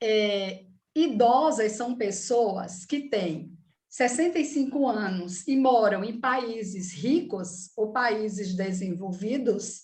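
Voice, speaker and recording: Lively intonation carries through very slow speech, with audible room echo around it. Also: woman. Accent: northeastern Brazilian. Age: 60s. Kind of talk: talk.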